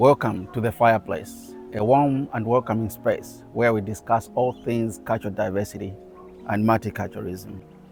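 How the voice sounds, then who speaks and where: With music in the background, a man at medium pitch talks at a moderate pace with fairly even intonation. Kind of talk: podcast host interview.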